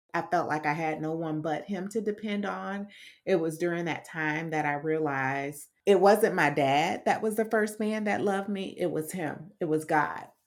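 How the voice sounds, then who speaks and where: With an unremarkable speaking voice, a woman at a fairly low pitch talks at a moderate pace with ordinary pitch variation and hardly any pauses. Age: 40s. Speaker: podcast host. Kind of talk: faith-based personal testimony monologue.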